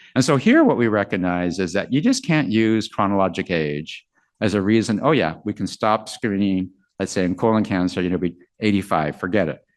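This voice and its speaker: A man with a normal speaking voice talks at a fairly quick pace, his pitch fairly low with ordinary variation. The background is quiet. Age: 60s. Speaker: physician lecturer. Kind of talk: lecture. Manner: casual, filler-heavy.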